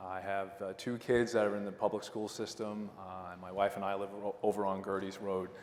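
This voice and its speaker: A fairly low-pitched man's voice with a Long Island accent, fairly quick and flat in monotone with hardly any pauses. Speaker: town council candidate, lawyer. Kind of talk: candidate debate speech. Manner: casual, many fillers.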